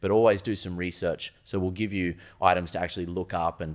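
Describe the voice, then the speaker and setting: The speaker talks at a fairly quick pace in an Australian accent. The recording is very clean, with a silent background. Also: man. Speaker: supplement store owner. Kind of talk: casual chat. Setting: studio.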